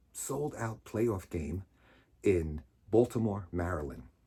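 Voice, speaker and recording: A man speaks very slowly in a dark, mellow tone on a very clean recording with a silent background. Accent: American. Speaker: storyteller. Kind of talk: personal storytelling. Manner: loud; casual, halting with fillers.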